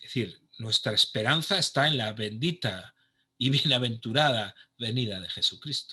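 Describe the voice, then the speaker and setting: A man's medium-pitched voice with a bright, sharp tone, ordinary pitch variation and a moderate pace. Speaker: pastor and conference speaker. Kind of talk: online conference talk. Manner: halting, many false starts.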